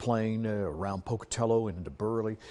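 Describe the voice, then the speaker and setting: A man with a dark, mellow tone and an American accent, medium pitch, and a fairly quick pace against a quiet background. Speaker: local TV weather forecaster and news anchor. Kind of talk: TV weather forecast broadcast. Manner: upbeat, jokey, conversational.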